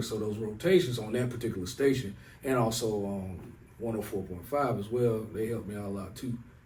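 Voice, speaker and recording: A man at medium pitch talks at a very fast pace with ordinary pitch variation. Audible room echo surrounds the voice. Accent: Southern US. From US South, Raeford, North Carolina. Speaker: rapper. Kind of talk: casual interview chat. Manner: laid-back, conversational with filler phrases.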